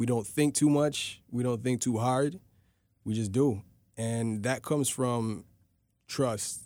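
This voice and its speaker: The voice is dark and mellow, moving at a very slow pace with long, frequent pauses. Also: man, medium pitch for a man, ordinary pitch variation. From Toronto, Canada (Rexdale), Ghanaian descent. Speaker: rapper and producer. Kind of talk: casual interview chat.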